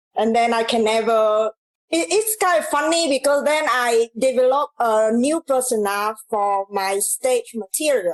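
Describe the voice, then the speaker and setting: A woman with a Vietnamese accent uses a high pitch and lively intonation at a fairly slow pace, her loudness very even and the sound dry and close with no echo. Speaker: comedian. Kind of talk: casual chat. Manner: halting.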